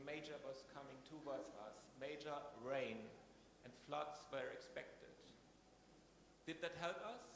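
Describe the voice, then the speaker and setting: A man with a German accent and a fairly high pitch, amid audible room echo and noticeable background noise. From Germany. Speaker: scientist at a research institution. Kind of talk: conference talk.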